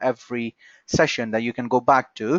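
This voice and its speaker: Speaking with a non-native accent is a man. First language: not English. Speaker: software trainer. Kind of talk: online training session. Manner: halting.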